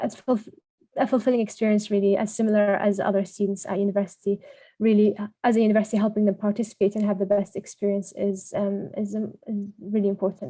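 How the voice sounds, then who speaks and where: A dark, mellow, somewhat breathy voice, monotone and flat, at a very fast pace. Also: woman, medium pitch for a woman. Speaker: workshop presenter. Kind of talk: online workshop presentation. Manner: hesitant, many fillers.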